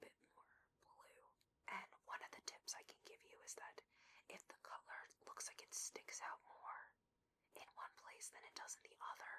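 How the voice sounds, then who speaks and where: A woman whispers in a breathy voice. She keeps to a fairly slow pace. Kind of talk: ASMR gameplay whisper. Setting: muffled basement recording with furnace noise. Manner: breathy whispered, soft.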